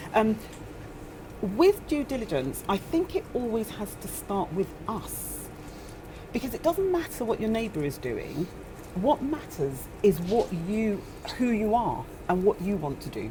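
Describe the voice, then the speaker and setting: A woman's fairly high pitch with very wide pitch swings, a fairly slow pace, long and frequent pauses, and noticeable background noise. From northern England. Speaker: property investor panelist. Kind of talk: panel discussion. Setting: seminar room with audience.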